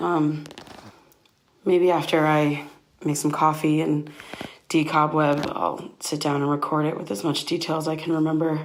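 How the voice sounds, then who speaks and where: Amid audible room echo, a woman with a very deep, low pitch speaks at a moderate pace in a monotone, flat delivery broken by long, frequent pauses. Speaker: podcast host. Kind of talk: first-person audio diary. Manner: hesitant, filler-heavy.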